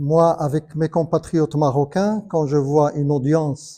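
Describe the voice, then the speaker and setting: On a very clean recording with a silent background, a man speaks in a dark, mellow, somewhat breathy tone with a fairly high pitch and ordinary pitch variation. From Morocco, Casablanca. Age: 60s. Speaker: conference panelist. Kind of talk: panel discussion. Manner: halting.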